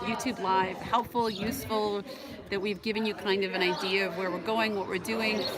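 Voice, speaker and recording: A woman's voice over noticeable background noise. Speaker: travel vlogger. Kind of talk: live stream chat. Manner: fast; excitable.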